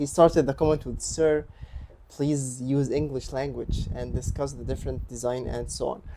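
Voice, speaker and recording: Someone speaks with an Egyptian accent amid noticeable background noise. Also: man. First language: Arabic. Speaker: streamer, cryptography researcher. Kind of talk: casual live stream chat. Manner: halting, many fillers and repetitions.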